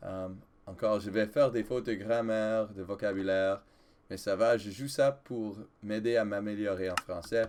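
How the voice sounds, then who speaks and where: Speaking with an English accent, a man keeps a fairly low pitch, fairly even intonation and a moderate pace. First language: English (speaking French). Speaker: gaming video creator, French teacher. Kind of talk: let's play gameplay commentary. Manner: halting, with hesitations and self-corrections.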